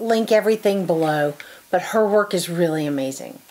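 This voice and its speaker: A woman at a moderate pace, her pitch moving with ordinary variation. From US South. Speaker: quilting YouTuber. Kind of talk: casual book review monologue. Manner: animated. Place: home room.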